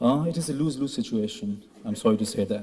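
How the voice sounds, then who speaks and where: A man's medium-pitched voice in a Pashto accent, fairly quick, with ordinary pitch variation. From Pakistan. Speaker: graduating student. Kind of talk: ceremony speech. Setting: stage with audience.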